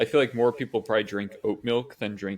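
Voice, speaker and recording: A man with a slight Midwestern accent talks at a moderate pace with fairly even intonation. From US Midwest. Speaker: podcast co-host. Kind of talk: casual chat.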